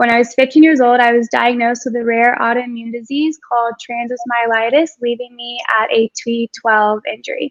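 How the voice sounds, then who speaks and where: The recording is dry and close with no echo, as a woman with a high voice talks at a moderate pace in a flat monotone, with hardly any pauses. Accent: American. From Texas (Houston). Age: 20s. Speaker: wheelchair dancer. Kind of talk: virtual panel discussion. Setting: video call.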